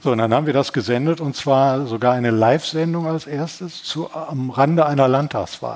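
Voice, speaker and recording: Noticeable background noise sits behind a man with a fairly high pitch. He talks at a moderate pace with ordinary pitch variation and hardly any pauses. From Ruhr area, Essen. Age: 70s. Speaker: retired TV journalist. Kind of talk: interview.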